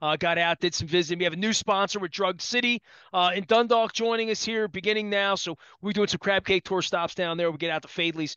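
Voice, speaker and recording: Speaking with an American accent, a man moves at a fairly quick pace with ordinary pitch variation. The sound is dry with no echo, and the background is quiet. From Baltimore area, US. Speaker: sports radio host. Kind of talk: casual sports talk. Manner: rambling. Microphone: headset.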